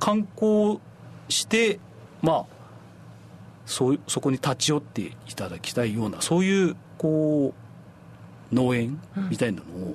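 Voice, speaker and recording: Very wide pitch swings mark a man's fairly high voice. He speaks fairly slowly, with long, frequent pauses. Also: big swings in loudness. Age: 40s. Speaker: apple farmer, former hotel worker. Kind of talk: radio interview.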